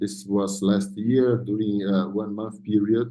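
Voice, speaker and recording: Audible room echo surrounds a man's fairly low voice, which has ordinary pitch variation. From South America. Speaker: neurosurgeon. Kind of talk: conference presentation. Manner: halting.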